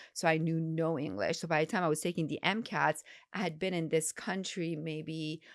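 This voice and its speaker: Speaking at a moderate pace, a woman with an Iranian accent has a fairly low pitch, captured in a very clean recording with a silent background. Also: ordinary pitch variation. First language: Farsi. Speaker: gynecologist. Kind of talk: interview.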